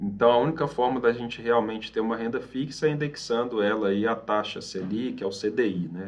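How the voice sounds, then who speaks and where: A man talks in an ordinary speaking voice at a medium pitch with ordinary pitch variation. His pace is fairly quick, with hardly any pauses. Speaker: financial advisor. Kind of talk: podcast interview.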